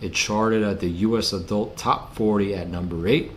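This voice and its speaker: A fairly low-pitched man speaking at a fairly slow pace, ordinary pitch variation, audible room echo. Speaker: music commentary youtuber. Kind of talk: casual video commentary. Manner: casual, many fillers and repetitions.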